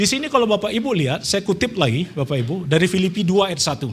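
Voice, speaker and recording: A man talking at a very fast pace. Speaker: preacher. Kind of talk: sermon. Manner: soft-spoken.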